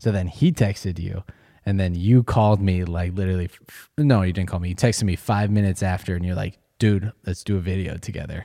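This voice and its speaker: With an American accent, a man speaks very fast in a very deep, low voice of dark, mellow tone, his intonation fairly even but his loudness swinging widely, captured dry and close with no echo on a very clean recording with a silent background. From Colorado, US. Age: 20s. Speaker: professional beatboxer and YouTuber. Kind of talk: casual chat. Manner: halting.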